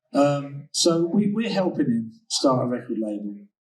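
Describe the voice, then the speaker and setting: There is audible room echo as a man speaks at a moderate pace and medium pitch with lively intonation. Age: 50s. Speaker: DJ and music label founder. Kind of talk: interview. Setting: recorded at a summit. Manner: hesitant, many fillers.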